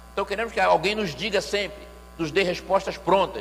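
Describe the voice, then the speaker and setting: Noticeable background noise is present as a man talks at a moderate pace. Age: 60s. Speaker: pastor and music lecturer. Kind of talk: church lecture.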